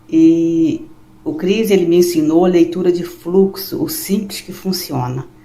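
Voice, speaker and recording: Against noticeable background noise, a woman speaks fairly slowly in a fairly low pitch, with ordinary pitch variation and big swings in loudness. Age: 60s. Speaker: retiree, student testimonial. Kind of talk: testimony.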